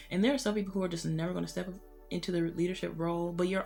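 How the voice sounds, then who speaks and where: A woman is speaking. Her pitch sits fairly low. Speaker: tarot reader. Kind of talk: tarot reading. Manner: casual, filler-heavy.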